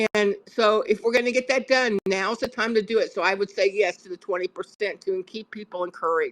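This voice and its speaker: A woman's normal speaking voice, fairly high in pitch, at a moderate pace, with a dry, close sound and no echo. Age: 60s. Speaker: panel participant in a call-in discussion. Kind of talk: political opinion discussion.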